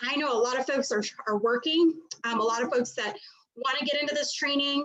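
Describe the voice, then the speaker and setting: A loud, high-pitched woman's voice at a very fast pace, with ordinary pitch variation. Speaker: mortgage trainer. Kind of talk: live stream presentation. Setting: video call. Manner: animated.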